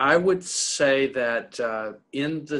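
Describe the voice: A man speaks with an American accent and a fairly bright tone. His pitch is medium, with ordinary variation.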